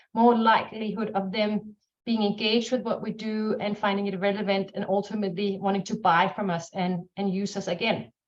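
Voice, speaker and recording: Speaking with a Danish accent, a woman of medium pitch keeps a monotone, flat intonation at a moderate pace. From Denmark. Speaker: marketing strategist, business owner. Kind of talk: webinar panel talk.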